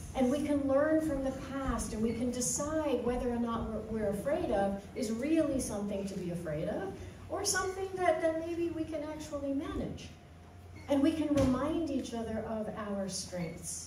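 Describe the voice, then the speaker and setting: A woman speaks at a moderate pace in a high voice, with audible room echo and noticeable background noise. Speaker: minister leading a children's segment. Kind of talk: sermon-style talk for all ages. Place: hall.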